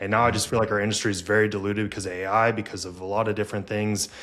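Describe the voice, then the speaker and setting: A man speaks quietly at a very fast pace. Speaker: podcast host and fitness coach. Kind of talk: casual chat. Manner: quiet, introverted.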